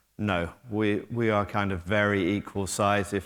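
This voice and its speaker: A man with a British accent and a fairly low pitch. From Britain. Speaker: technology company executive. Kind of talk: conference talk. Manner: hesitant, filler-heavy.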